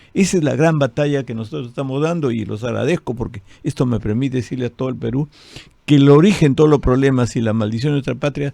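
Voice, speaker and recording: A man talks at a very fast pace in a dark, mellow tone. His pitch is medium, with ordinary pitch variation. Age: 70s. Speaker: politician, party president. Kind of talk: radio interview.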